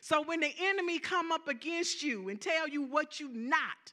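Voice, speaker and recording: A woman with a Southern US accent speaks at a fairly slow pace in a raised, projected voice, her extremely high pitch carried by lively intonation. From US South. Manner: animated.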